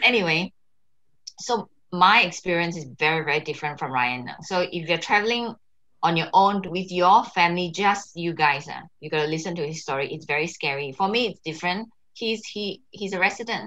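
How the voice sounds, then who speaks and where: The speaker has a Singaporean accent and a bright, sharp tone, talking at a fairly quick pace with ordinary pitch variation. Loudness swings widely against a quiet background. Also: woman, fairly low pitch for a woman. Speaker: co-host, Singaporean migrant mother. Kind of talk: casual chat. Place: home room.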